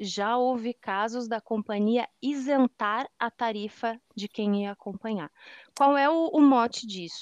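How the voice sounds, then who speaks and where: The recording has a dry, close sound with no echo. A woman talks very slowly at a fairly high pitch with ordinary pitch variation. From southern Brazil, Rio Grande do Sul. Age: 40s. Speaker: accessibility analyst and audio description consultant. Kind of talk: casual interview chat. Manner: animated.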